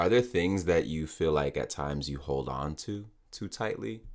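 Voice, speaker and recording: A man with a very deep, low pitch and vocal fry speaks at a moderate pace with lively intonation. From Nigerian background. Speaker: podcast host. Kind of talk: casual interview.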